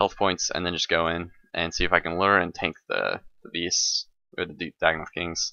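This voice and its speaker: At a moderate pace, someone speaks. The speaker is a man. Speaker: gaming commentator. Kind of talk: gameplay commentary. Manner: halting, many fillers; casual, relaxed pace.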